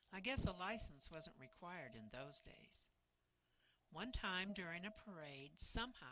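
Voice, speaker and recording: A woman with a bright, sharp tone and vocal fry speaks at a fairly slow pace in a fairly low pitch. Her pitch swings very widely and her loudness swings a lot. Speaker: family historian narrating documentary. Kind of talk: scripted narration.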